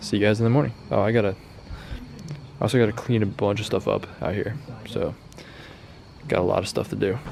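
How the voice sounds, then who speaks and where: A man's fairly low voice at a very fast pace, with long, frequent pauses, ordinary pitch variation and noticeable background noise. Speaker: car DIY youtuber. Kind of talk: work vlog narration. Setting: garage at night. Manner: soft-spoken.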